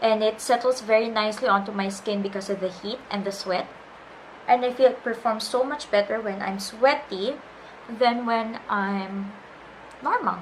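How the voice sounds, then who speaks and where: Noticeable background noise accompanies a woman speaking at a moderate pace with a fairly high pitch. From Philippines. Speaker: beauty vlogger and freelance makeup artist. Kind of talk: makeup tutorial talk to camera.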